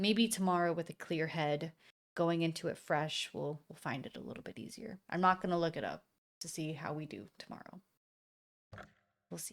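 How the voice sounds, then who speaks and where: Pausing long and often, a woman talks at a fairly low pitch with ordinary pitch variation and big swings in loudness. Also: moderate pace. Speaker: gaming streamer. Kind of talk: casual live-stream chat.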